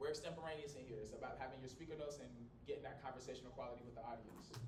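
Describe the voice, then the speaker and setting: Loud and very fast, a man talks at a medium pitch with audible room echo and noticeable background noise. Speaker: college communication instructor. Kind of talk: lecture. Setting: small classroom, no microphone. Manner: loud, projecting; animated.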